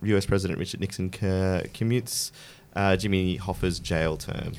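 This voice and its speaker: This man has a fairly low voice and speaks with an Australian accent. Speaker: podcast host. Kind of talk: casual chat.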